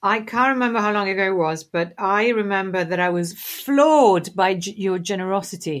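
The speaker has an Italian accent. The recording is very clean, with a silent background. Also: woman, medium pitch for a woman, ordinary pitch variation, moderate pace. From Italy, Tuscany (Siena). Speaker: designer and design teacher. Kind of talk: casual interview chat. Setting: call.

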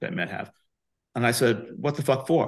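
Over a quiet background, a man races along very fast, his pitch varying in an ordinary way. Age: 70s. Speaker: physician and company founder. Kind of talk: interview.

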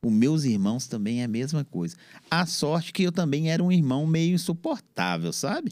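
A man's fairly high voice at a moderate pace, an unremarkable speaking voice with lively intonation, on a very clean recording with a silent background. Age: 50s. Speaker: podcaster and DJ. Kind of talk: casual interview chat.

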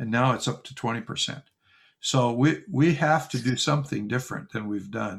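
A man's medium-pitched voice with lively intonation and vocal fry, on a very clean recording with a silent background. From US West Coast, Oregon. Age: 70s. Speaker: pastor and church planter. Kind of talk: interview conversation.

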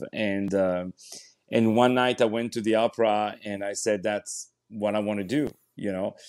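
With a French accent, a man speaks at a moderate pace in a fairly low, monotone, flat voice. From France, Paris. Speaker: opera singer and actor. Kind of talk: interview.

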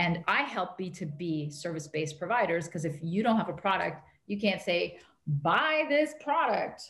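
Audible room echo surrounds a woman whose fairly low voice is somewhat breathy. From Canada. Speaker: marketing strategist. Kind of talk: interview.

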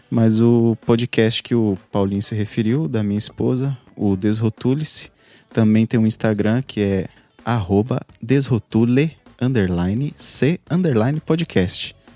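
A man's medium-pitched voice at a fairly slow pace with ordinary pitch variation, dry and close with no echo, over music in the background. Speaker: podcast editor. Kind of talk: casual chat. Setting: video call live stream.

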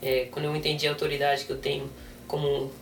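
Noticeable background noise sits behind this recording. The man's voice is fairly high in pitch. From Brazil, raised in South Africa from age six. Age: 20s. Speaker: missionary trainee and interpreter. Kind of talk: interview with live interpreting.

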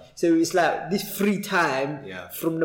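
A high-pitched man with a Cockney accent, at a fairly slow pace with ordinary pitch variation, over noticeable background noise. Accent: East London Cockney. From East London. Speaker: podcast host. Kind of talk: casual, conversational, uses slang like "innit".

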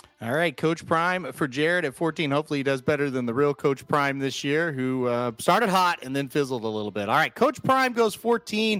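In a very clean recording with a silent background, a man with an unremarkable speaking voice and a fairly high pitch talks with lively intonation and hardly any pauses. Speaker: draft host. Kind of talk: livestream draft hosting, casual banter. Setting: livestream.

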